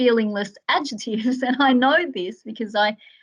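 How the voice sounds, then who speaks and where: Fairly high in pitch, a woman with an Australian accent speaks with ordinary pitch variation. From Australia, Melbourne's western suburbs. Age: 40s. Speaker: author. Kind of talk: interview.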